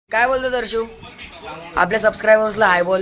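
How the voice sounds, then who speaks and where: A man with a high voice speaks with ordinary pitch variation over noticeable background noise. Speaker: vlogger. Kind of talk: casual vlog. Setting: at home.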